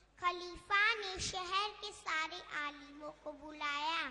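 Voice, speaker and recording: At a very slow pace, a woman speaks in an extremely high pitch with ordinary pitch variation. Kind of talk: formal Urdu-flavoured storytelling. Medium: stage play. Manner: measured, solemn.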